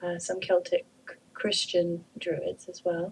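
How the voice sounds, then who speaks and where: A woman talks fairly slowly, her voice somewhat breathy. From Canada. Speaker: druid priestess and author. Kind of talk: radio interview.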